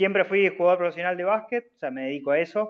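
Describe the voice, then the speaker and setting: The man talks in a high pitch with ordinary pitch variation. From Argentina, Bahía Blanca. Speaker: student, professional basketball player. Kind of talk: self-introduction in class. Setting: video call. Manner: hesitant, many fillers.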